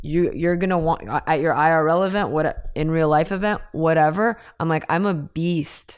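A woman speaks with a plain, everyday voice in a fairly low pitch. Her intonation is fairly even and her loudness very even. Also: moderate pace. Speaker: crypto and NFT expert. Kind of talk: casual interview chat.

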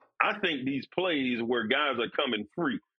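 With an American accent and an ordinary speaking voice, a man speaks at a fairly high pitch and moderate pace with lively intonation. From Florida. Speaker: former NFL defensive lineman. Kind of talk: casual chat.

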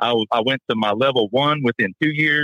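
Using a normal speaking voice, a man talks at a fairly quick pace and a medium pitch, with ordinary pitch variation. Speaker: gym owner. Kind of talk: casual chat. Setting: phone call.

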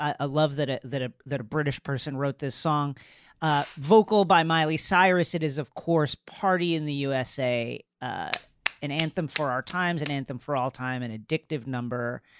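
With an unremarkable speaking voice, a man talks at a moderate pace and a fairly high pitch with ordinary pitch variation, in a very clean, dry, close recording with no echo and a silent background. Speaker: podcast panelist. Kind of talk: casual chat.

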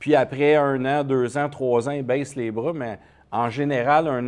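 In a quiet background, a man with a Quebec accent speaks at a medium pitch with fairly even intonation. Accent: Québécois French. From Quebec, Montreal. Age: 50s. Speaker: entrepreneur. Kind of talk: interview.

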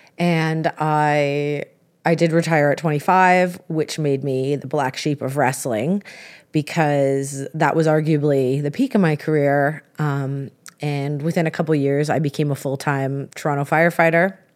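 The speaker talks at a fairly slow pace with a Canadian accent and fairly even intonation on a very clean recording with a silent background. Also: woman, very deep, low pitch for a woman. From Canada. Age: 30s. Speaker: professional wrestler and firefighter. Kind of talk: interview storytelling.

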